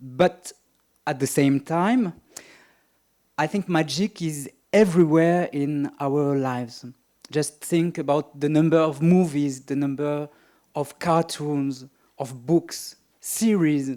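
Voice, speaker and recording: With a French accent, a man speaks very slowly in a fairly high voice with a dark, mellow tone, ordinary pitch variation and long, frequent pauses. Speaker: magician and writer, keynote speaker. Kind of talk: keynote lecture. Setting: conference stage.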